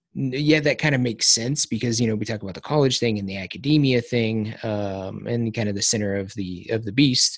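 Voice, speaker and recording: This is an unremarkable speaking voice, a man at medium pitch going at a moderate pace with ordinary pitch variation. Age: 30s. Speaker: podcast host and military veteran. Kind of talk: casual chat. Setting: video call.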